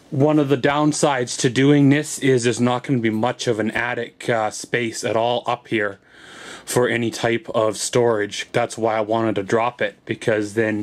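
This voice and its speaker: Fairly even intonation marks a man's speech at a moderate pace. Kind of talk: casual vlog chat. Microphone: phone near.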